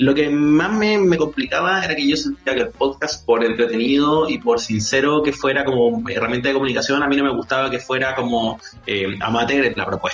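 A man with a Chilean accent talks at a fairly quick pace with lively intonation and hardly any pauses. His pitch is fairly high, and there is noticeable background noise. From Chile, Santiago (San Miguel). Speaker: journalist and radio host. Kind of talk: casual chat. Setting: remote call.

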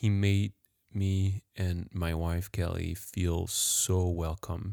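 A man with a French accent speaks in a very deep, low pitch at a very slow pace, with fairly even intonation. The sound is dry and close with no echo, on a very clean recording with a silent background. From France. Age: 30s. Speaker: professional juggler and podcast host. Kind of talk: casual podcast narration and interviews. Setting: home recording corner with microphone.

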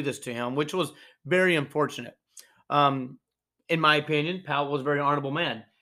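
In a Southern US accent, a man talks at a fairly quick pace with a bright, sharp tone. His pitch is fairly high with ordinary variation, on a very clean recording with a silent background. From North Georgia, US South. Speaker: podcast host. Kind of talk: solo podcast monologue. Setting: live stream. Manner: halting, many fillers.

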